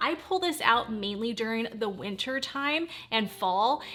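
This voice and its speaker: The woman's voice is pitched fairly high. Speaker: beauty vlogger. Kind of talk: voice-over beauty tutorial. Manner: fast; animated.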